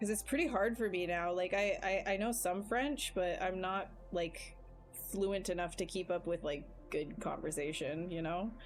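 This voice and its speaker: A woman with a Canadian accent talks at a moderate pace and medium pitch, keeping very even loudness and ordinary pitch variation over music in the background. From Canada. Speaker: digital sculptor streaming live. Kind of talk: casual livestream chat while working. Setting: live stream.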